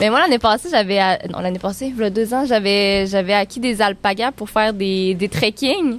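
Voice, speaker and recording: A woman talks at a moderate pace and a medium pitch, with ordinary pitch variation. She has a plain, everyday voice and hardly any pauses. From Quebec, Baie-Comeau area. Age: 20s. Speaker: outdoor tourism entrepreneur. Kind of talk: casual chat.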